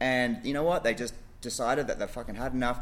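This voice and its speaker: This man speaks with an Australian accent. His pace is very fast. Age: 40s. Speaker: gym coach. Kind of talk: casual chat.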